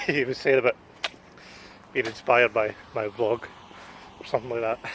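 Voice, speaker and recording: With a Glasgow accent, a man speaks at a fairly quick pace and medium pitch, his intonation fairly even, amid noticeable background noise. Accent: Glasgow Scottish. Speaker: vlogger. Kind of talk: casual vlog.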